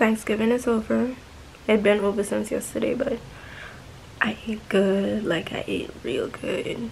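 A woman at a fairly slow pace, with light background noise. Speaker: vlogger. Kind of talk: casual vlog chat. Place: home room. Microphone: phone near.

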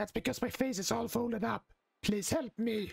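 A put-on character voice, strained and fairly high, moves along at a moderate pace. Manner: awful, strained.

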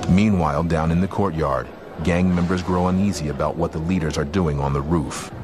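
Over music in the background, a man with a very deep, low pitch speaks in a dramatic tone. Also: fairly quick pace. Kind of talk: true-crime documentary narration. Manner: grave, measured, ominous, dramatic; clipped, steady, suspenseful delivery.

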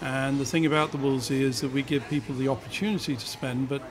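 Over noticeable background noise, a man with a fairly high pitch talks at a very fast pace with fairly even intonation. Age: 60s. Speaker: restaurateur. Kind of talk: interview. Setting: restaurant. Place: cafe. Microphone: studio mic.

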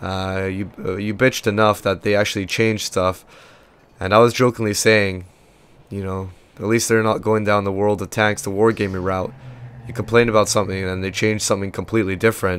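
A man speaks at a fairly quick pace in a fairly low pitch with monotone, flat intonation. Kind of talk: casual gameplay commentary.

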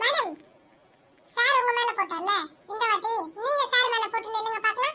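A cartoonish character voice, squeaky and extremely high-pitched, delivered at a fairly slow pace. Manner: eager, repetitive.

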